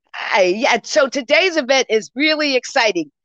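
Here a woman talks with an American accent. Her pace is fairly slow and her intonation lively. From New York (Brooklyn). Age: 60s. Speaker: guest, Caribbean heritage organization leader. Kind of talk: interview. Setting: event at a public library.

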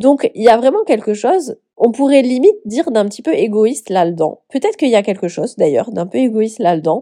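A dark, mellow voice speaks at a fairly quick pace with hardly any pauses. Its pitch swings very widely. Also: woman, fairly high pitch for a woman. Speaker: life coach and podcast host. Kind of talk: solo podcast monologue. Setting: at home on the couch.

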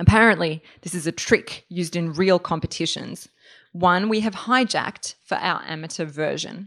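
At a moderate pace, a woman with an Australian accent speaks in a fairly low voice with ordinary pitch variation. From Australia (Melbourne), born in Serbia. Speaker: writer. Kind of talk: reading aloud. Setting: stage with audience.

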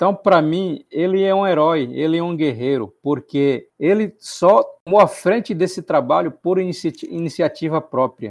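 A man with a high pitch talks at a moderate pace with hardly any pauses and ordinary pitch variation, over a quiet background. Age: 40s. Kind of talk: interview. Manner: halting.

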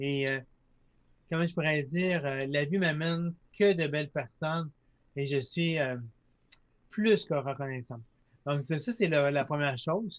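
At a fairly slow pace with long, frequent pauses, a man speaks at a fairly high pitch with ordinary pitch variation. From Quebec, Lac-Saint-Jean. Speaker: entrepreneur, company founder. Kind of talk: casual interview. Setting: studio, live streamed.

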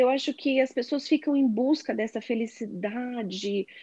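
At a fairly slow pace, a woman with a high pitch speaks in a dry, close sound with no echo and a quiet background. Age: 40s. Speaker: sales manager. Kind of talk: casual chat.

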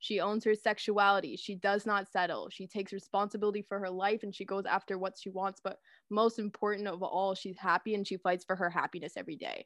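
In a dry, close sound with no echo and a quiet background, a woman with a Canadian accent talks at a very fast pace with hardly any pauses, medium pitch and monotone, flat intonation. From Canada, Guelph, Ontario. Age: 20s. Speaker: podcast host. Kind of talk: casual chat.

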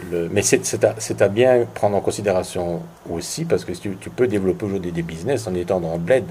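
The voice has a dark, mellow tone with vocal fry. It moves at a fairly quick pace with lively intonation. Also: man, very deep, low pitch for a man. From Belgium. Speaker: tourism entrepreneur. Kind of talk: interview. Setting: at host's home. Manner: hesitant, many repetitions.

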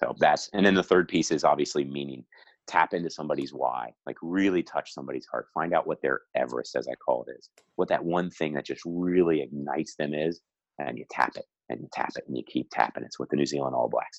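A man with a very deep, low voice talks very fast, showing vocal fry, ordinary pitch variation and big swings in loudness. The sound is dry and close, with no echo. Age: 40s. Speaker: youth soccer coach and consultant. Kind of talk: casual interview.

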